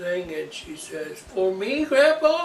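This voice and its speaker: With an American accent, a man talks at a fairly slow pace amid noticeable background noise and audible room echo. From Iowa. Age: old. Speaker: storyteller. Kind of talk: casual chat.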